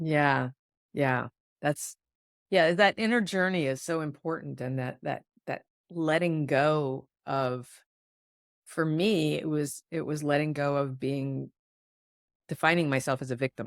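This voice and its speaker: A woman with a very deep, low pitch talks at a fairly slow pace with ordinary pitch variation and long, frequent pauses, in a dry, close sound with no echo on a very clean recording with a silent background. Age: 60s. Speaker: podcast host, intuitive healer. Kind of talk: podcast interview.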